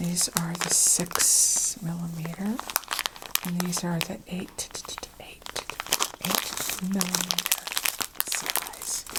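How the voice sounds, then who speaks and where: A soft-spoken woman with a fairly low pitch talks very slowly in a calm, monotone, flat delivery, leaving long, frequent pauses. Noticeable background noise sits behind her. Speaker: crochet and craft content creator. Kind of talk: soft-spoken ASMR-style craft show-and-tell. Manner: soft-spoken, calm.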